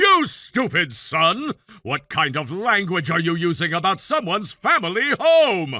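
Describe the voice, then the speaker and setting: The speaker uses a put-on character voice with very wide pitch swings. The pace is moderate. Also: man, high pitch for a man. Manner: angry, yelling.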